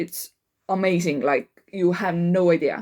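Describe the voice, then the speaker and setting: A woman at a medium pitch, in an Estonian accent, at a very slow pace. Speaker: life coach. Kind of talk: casual monologue. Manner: halting, many fillers.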